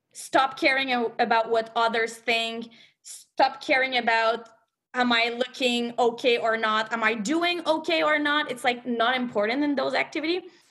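Speaking with a French accent, a woman uses a high pitch, a bright, sharp tone, ordinary pitch variation and a moderate pace. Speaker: movement coach. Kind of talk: podcast panel discussion. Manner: hesitant, self-correcting.

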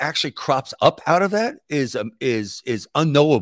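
A man with an American accent, fairly high in pitch, with lively intonation and a fairly slow pace, in a dry, close sound with no echo. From New York City. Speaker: political activist. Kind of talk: interview. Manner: halting.

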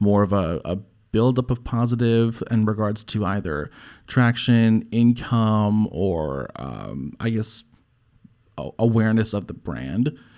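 A man speaks with a fairly low pitch and ordinary pitch variation in a plain, everyday voice. The recording is very clean, with a silent background. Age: 20s. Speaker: podcast host. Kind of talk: casual chat. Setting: studio.

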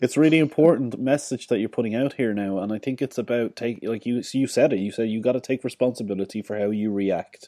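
A man with an Irish accent, medium pitch and a dark, mellow tone, very fast with hardly any pauses, ordinary pitch variation, in a very clean, dry, close recording with a silent background and no echo. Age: 30s. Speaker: podcast host. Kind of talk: casual interview chat.

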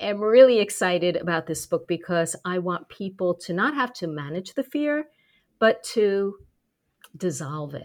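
In a very clean recording with a silent background, a woman with an ordinary speaking voice talks at a fairly slow pace, her medium-pitched voice carrying lively intonation. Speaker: speaking confidence coach and author. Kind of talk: casual interview chat.

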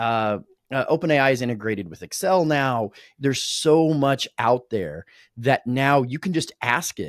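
A man with a plain, everyday voice, medium in pitch, at a fairly slow pace with lively intonation, in a very clean recording with a silent background and a dry, close sound with no echo. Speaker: podcast host. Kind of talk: casual interview. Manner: informal, conversational.

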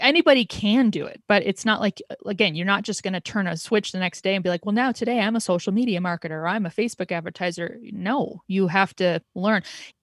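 A woman talks at a very fast pace in a medium-pitched, somewhat breathy voice with ordinary pitch variation. The recording is very clean, with a silent background and a dry, close sound with no echo. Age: 40s. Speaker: podcast producer. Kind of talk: casual chat.

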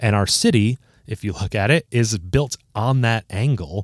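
In a very clean recording with a silent background and a dry, close sound with no echo, a man with an American accent speaks in a plain, everyday voice at fairly low pitch, with ordinary pitch variation. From Toledo, Ohio. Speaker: graphic designer. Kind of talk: casual interview.

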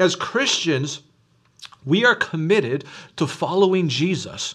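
A man with an unremarkable speaking voice talks at a fairly slow pace with lively intonation. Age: 40s. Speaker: pastor. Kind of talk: sermon. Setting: recorded online church service.

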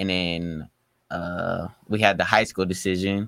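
Monotone and flat in intonation, a man with an American accent speaks in a very deep, low pitch and a bright, sharp tone, on a very clean recording with a silent background. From Sacramento, California. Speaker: high school basketball player. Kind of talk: casual interview. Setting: studio.

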